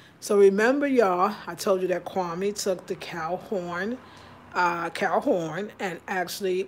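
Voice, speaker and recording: Fairly slow delivery over light background noise. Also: woman. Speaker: home vlogger. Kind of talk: casual vlog chat. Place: kitchen. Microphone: phone near.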